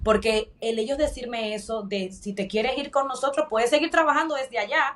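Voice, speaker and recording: A woman talks fairly quickly, her pitch varying in an ordinary way, with noticeable noise behind her. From Dominican Republic. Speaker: corporate professional turned coach. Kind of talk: interview.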